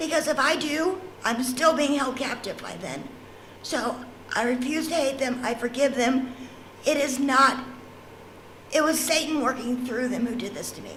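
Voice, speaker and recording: A woman with a high pitch speaks with fairly even intonation, big swings in loudness and long, frequent pauses. Audible room echo and noticeable background noise are present. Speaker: trafficking survivor. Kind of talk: testimony. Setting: church panel event.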